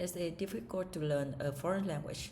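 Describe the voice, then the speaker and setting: A woman speaks at a moderate pace with a very deep, low pitch and vocal fry. Her pitch varies in an ordinary way, and the room echo is audible. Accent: Vietnamese. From Vietnam. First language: Vietnamese. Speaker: English learner. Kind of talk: speaking test practice. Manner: halting, with fillers and self-corrections.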